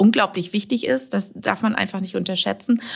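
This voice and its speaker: A woman with medium pitch talks at a moderate pace in a plain, everyday voice. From Münsterland, Germany (Warendorf). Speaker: marketing manager. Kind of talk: podcast interview.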